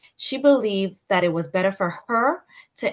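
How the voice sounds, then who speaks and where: A woman's medium-pitched voice in a Caribbean accent. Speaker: sex therapist. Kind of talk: webinar talk.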